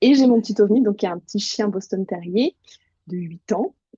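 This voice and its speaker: Dry and close with no echo, a woman's medium-pitched voice has a dark, mellow tone, ordinary pitch variation and a moderate pace. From eastern France, Bresse (Burgundy). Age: 30s. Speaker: journalist and writer. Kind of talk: interview.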